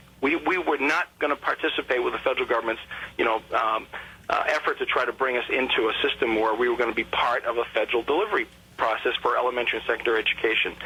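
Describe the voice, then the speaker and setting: Over noticeable background noise, a man with an American accent talks very fast at medium pitch with ordinary pitch variation. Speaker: political candidate being interviewed on a radio show. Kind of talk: radio interview answer.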